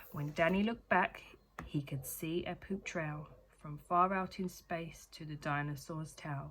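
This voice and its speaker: A woman with a British accent speaks at a fairly slow pace in a fairly low pitch with ordinary variation. The recording is very clean, its background silent. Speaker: children's book reader. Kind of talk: reading aloud. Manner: rhythmic storytelling.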